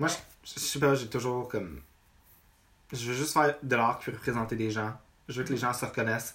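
At a very fast pace, a man talks with medium pitch and fairly even intonation. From Quebec, north shore of Montreal. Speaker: visual artist. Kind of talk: casual chat.

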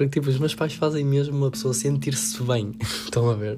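Backed by music, a man talks at a medium pitch with lively intonation. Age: 18. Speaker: student podcaster. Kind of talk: casual monologue. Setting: at home. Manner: animated.

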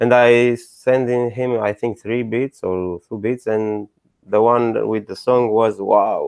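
With a Romanian accent, a man speaks very slowly at a medium pitch in a monotone, flat intonation, the sound dry and close with no echo. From Romania, Bucharest. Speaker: DJ and music producer. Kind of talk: interview. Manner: halting.

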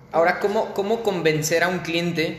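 There is noticeable background noise and audible room echo around this man's voice. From Mexico, Irapuato area. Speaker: podcast host interviewing architects. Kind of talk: interview. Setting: video call.

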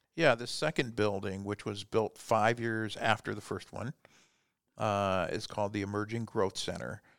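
A man with a Midwestern American accent speaks on a very clean recording with a silent background. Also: fairly low pitch for a man, ordinary pitch variation, moderate pace. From US Midwest (Fort Wayne, Indiana). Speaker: business coach. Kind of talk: casual interview. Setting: studio.

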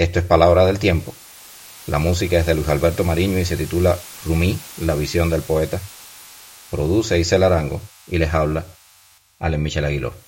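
A man with a very deep, low pitch at a fairly quick pace, broken by long, frequent pauses, over noticeable background noise. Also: fairly even intonation. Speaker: podcast host. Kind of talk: casual chat; scripted narration. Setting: guest's home studio.

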